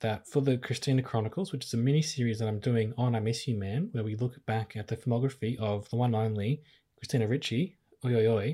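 In a very clean recording with a silent background, a man with an Australian accent speaks at a very fast pace. His medium-pitched voice is somewhat breathy, dark and mellow, with ordinary pitch variation. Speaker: podcast host. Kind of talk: casual chat.

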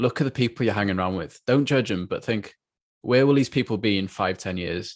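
Talking at a very fast pace, a man with a North Wales accent uses a fairly low pitch and ordinary pitch variation against a quiet background. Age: 20s. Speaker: youth mindset coach. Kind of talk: casual interview chat. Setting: video call.

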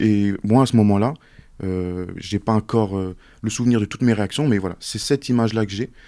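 Recorded very cleanly against a silent background, a man speaks at a moderate pace in a fairly low, dark, mellow voice. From France (Montluçon, Auvergne) and Mayotte. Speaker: work-study student. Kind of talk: casual interview.

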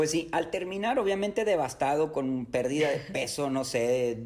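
This is a man speaking. He has a northern Mexican accent. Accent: northern Mexican (regio). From Mexico, Nuevo León (Apodaca, Monterrey area). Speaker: triathlon coach and ultra-endurance athlete. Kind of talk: interview.

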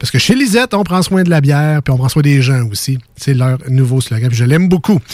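Hardly pausing, a man with a fairly high, somewhat breathy voice talks at a fairly quick pace with lively intonation and very even loudness. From Quebec City (Limoilou). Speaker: radio host. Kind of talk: casual radio chat.

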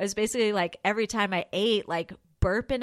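A woman's unremarkable speaking voice, fairly high in pitch with fairly even intonation, over a quiet background. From New York. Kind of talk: casual chat.

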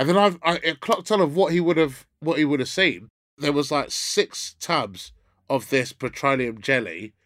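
On a very clean recording with a silent background, a man with a London accent speaks at a fairly high pitch and moderate pace, with lively intonation, vocal fry and very even loudness. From North London. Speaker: comedian. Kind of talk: casual chat.

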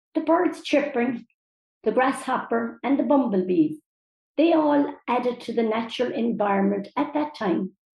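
With a Cork accent, a woman talks at a moderate pace and a fairly high pitch, her intonation lively. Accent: Cork Irish. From Mitchelstown, County Cork, Ireland. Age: 70s. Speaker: older local resident. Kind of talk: reading aloud a prepared essay.

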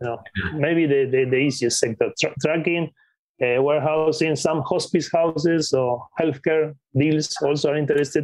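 Using a Spanish accent, a man talks at a moderate pace with a fairly high pitch and fairly even intonation. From Patagonia, Argentina. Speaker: acquisitions investor. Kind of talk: interview.

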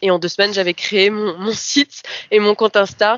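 A woman speaks at a moderate pace. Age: 20s. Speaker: person with lived experience of mental illness. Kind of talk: personal testimony. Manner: hesitant, many fillers.

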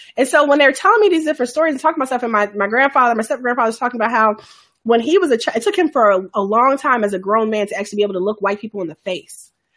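With an American accent, a woman talks at a very fast pace in a high pitch, her intonation lively and hardly any pauses breaking it up. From US, Chicago south side. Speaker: podcast host. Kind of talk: casual chat. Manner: halting.

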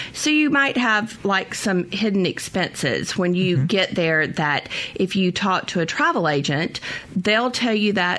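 At a fairly slow pace and medium pitch, a woman speaks with lively intonation and very even loudness over noticeable background noise. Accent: Southern US. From US South. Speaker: travel consultant. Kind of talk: radio interview.

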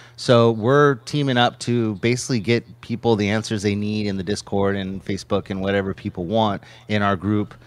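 In a very clean recording with a silent background, a normal speaking voice goes at a moderate pace with hardly any pauses and ordinary pitch variation. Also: man, fairly low pitch for a man. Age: 40s. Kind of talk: casual livestream Q&A.

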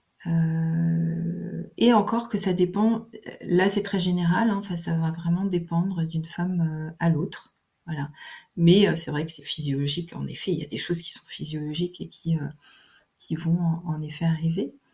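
Speaking at a fairly slow pace, a woman with a fairly low pitch has a dark, mellow, somewhat breathy tone and fairly even intonation. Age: 50s. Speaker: naturopath. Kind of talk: interview. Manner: hesitant, many fillers.

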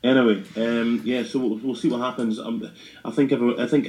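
A man with a Scottish accent speaks very fast in a dark, mellow tone. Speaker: football podcast host. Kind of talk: casual chat about football. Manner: fast talker.

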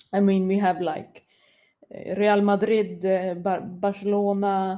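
A very slow pace from a woman at a medium pitch, dark and mellow in tone, with a Swedish accent. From Sweden. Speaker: football commentator. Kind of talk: casual chat. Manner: halting.

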